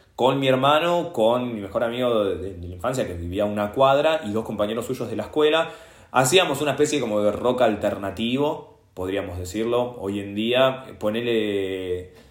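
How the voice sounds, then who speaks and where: Room echo is audible as a man of medium pitch talks at a moderate pace with hardly any pauses. His intonation is lively and his loudness swings widely. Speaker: history teacher and punk guitarist. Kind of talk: casual interview conversation.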